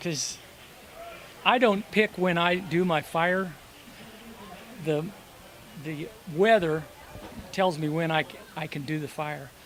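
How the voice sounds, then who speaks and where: Speaking fairly slowly with long, frequent pauses, a man uses a high pitch with ordinary variation over noticeable background noise. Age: 60s. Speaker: magician and fire eater. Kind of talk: interview.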